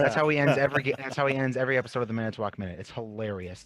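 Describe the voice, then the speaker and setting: In a Wisconsin accent, a man speaks at a very fast pace. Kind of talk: casual interview talk.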